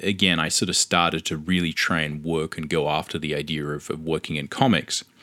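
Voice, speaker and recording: Bright and sharp in tone, a man with an Australian accent speaks at a very deep, low pitch. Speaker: comic book artist and podcaster. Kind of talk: solo podcast monologue. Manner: candid, conversational.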